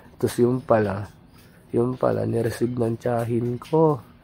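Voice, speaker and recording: A man speaks over noticeable background noise. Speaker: drawing hobbyist, vlogger. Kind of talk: casual storytelling vlog.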